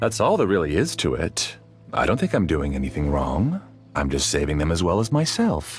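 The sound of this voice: Putting on a character voice at an extremely low pitch, a man makes very wide pitch swings while faint music plays in the background. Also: moderate pace.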